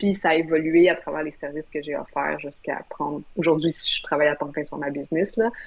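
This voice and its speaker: A woman with a very deep, low pitch talks at a fairly quick pace, with hardly any pauses. Her intonation stays fairly even over a quiet background. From Quebec. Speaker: brand strategist; guest. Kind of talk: live video interview. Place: home room. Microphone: video call.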